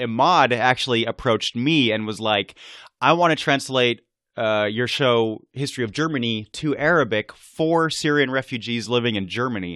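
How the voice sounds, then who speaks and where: Recorded dry and close with no echo against a quiet background, a man's medium-pitched voice has a bright, sharp tone and ordinary pitch variation. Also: moderate pace. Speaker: history podcaster. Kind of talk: interview. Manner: casual, informal.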